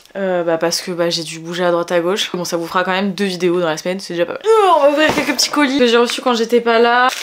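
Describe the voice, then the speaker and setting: A woman is talking at a very fast pace. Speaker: beauty vlogger. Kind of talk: casual vlog. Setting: at home.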